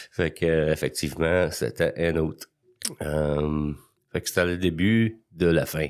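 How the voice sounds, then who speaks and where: Speaking at a very slow pace, a man uses a very deep, low pitch and fairly even intonation. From rural Quebec, anglophone. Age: 60s. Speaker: recovering alcoholic guest. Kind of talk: testimony.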